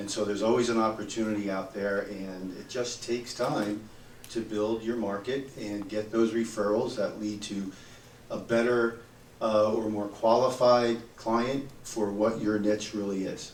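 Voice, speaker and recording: Noticeable background noise and audible room echo surround a man speaking at a fairly low pitch in a monotone, flat way. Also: fairly slow pace. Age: 60s. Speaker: accountant. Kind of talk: audience comment in panel discussion.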